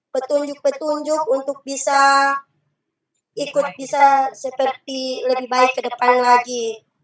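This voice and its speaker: A woman in a Central Sulawesi accent, fairly slow and fairly even in intonation, over music in the background. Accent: Sulawesi (Palu) dialect. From Palu, Central Sulawesi. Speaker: umrah pilgrim giving testimony. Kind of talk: testimony. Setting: video call from inside a car. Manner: halting, with many fillers.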